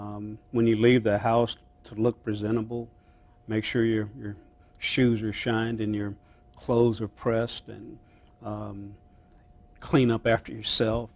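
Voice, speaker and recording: A man with an American accent, fairly slow, monotone and flat, with big swings in loudness and long, frequent pauses. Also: medium pitch for a man. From US, army brat moving between bases. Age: 60s. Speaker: former county manager. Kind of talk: interview. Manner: halting, many filler sounds.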